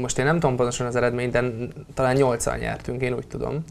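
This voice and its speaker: A man talks at a medium pitch. His pace is very fast. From Hungary. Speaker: sports commentator. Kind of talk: casual sports discussion. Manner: repetitive, halting. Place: studio. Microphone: lapel.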